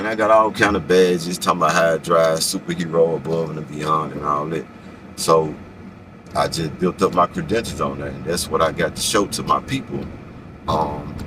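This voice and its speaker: This man's pitch is very deep and low, with ordinary variation. Noticeable background noise runs under his voice. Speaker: rideshare driver vlogger. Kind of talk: casual vlog monologue. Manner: fast.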